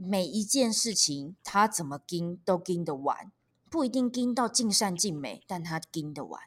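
Using lively intonation, a woman with a Taiwanese accent speaks at a fairly slow pace and medium pitch. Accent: Taiwanese Mandarin. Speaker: stand-up comedian and author. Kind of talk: interview. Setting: remote recording. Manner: lively, expressive; laughs often.

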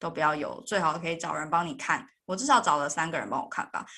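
Against a quiet background, a woman with a plain, everyday voice speaks at a fairly low pitch with ordinary pitch variation. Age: 30s. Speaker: podcast host and software engineer. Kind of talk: interview.

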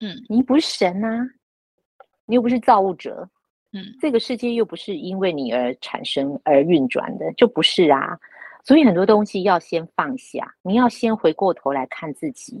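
A woman's voice shows vocal fry and very wide pitch swings. Her loudness rises and falls in big swings. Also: medium pitch for a woman, moderate pace. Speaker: retired newspaper journalist. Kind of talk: casual chat.

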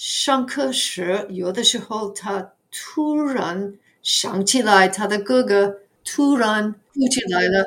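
A woman with an English accent, fairly high in pitch, very slow, with lively intonation. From US Northeast, New York area. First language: English (speaking Chinese). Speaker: retired ESL teacher. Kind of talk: casual interview. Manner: halting, many fillers.

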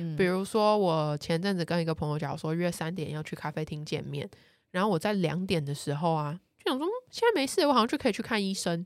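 With an ordinary speaking voice, a woman talks at a fairly quick pace in a fairly low pitch with ordinary pitch variation, the recording very clean and the background silent. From Taiwan. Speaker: travel columnist. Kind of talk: casual chat.

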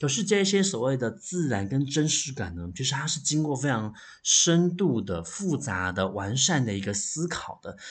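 With hardly any pauses, a man speaks at a moderate pace in a medium pitch, somewhat breathy and with very wide pitch swings. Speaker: library podcast host and novelist. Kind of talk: solo book review monologue.

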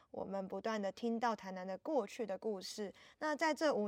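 In an ordinary speaking voice, a woman with a fairly high pitch talks at a moderate pace, sounding dry and close with no echo. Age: 20s. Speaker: art festival curator and artist. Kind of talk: casual interview chat. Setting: on site at outdoor art festival.

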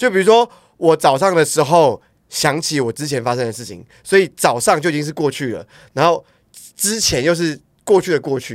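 On a very clean recording with a silent background, a man talks at a fairly quick pace with lively intonation, big swings in loudness and long, frequent pauses. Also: fairly high pitch for a man. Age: 30s. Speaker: podcast co-host. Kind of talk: casual chat.

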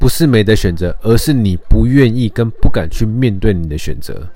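This man has a dark, mellow tone and a fairly low pitch. He speaks with a Taiwanese accent. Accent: Taiwanese Mandarin. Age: 30s. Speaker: podcast host. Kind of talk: casual monologue. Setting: home recording.

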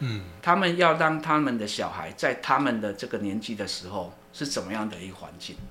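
With music in the background, a man at a medium pitch talks at a fairly quick pace with hardly any pauses and very wide pitch swings. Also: big swings in loudness. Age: 50s. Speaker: university research center director, sociologist. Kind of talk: interview. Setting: studio. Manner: hesitant, many fillers and repetitions.

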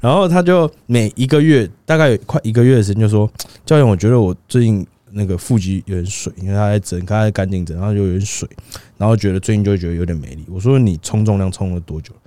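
Talking very fast with lively intonation, a man has a fairly low voice and a dark, mellow tone. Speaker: fitness coach. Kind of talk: casual chat.

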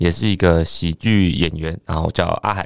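A man talks at a moderate tempo in a very clean recording with a silent background. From Taiwan, Penghu islands. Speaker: stand-up comedian. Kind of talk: casual chat. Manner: calm, low-key.

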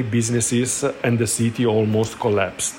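A man speaks at a fairly slow pace. Noticeable background noise can be heard. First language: Italian (speaking Chinese). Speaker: cosmetics shop manager. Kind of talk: recorded voice message.

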